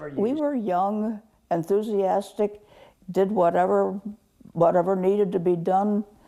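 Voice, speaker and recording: This woman's voice is dark and mellow, pitched at a medium level and delivered at a fairly slow pace. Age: 80s+. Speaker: army nurse veteran. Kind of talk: interview answer.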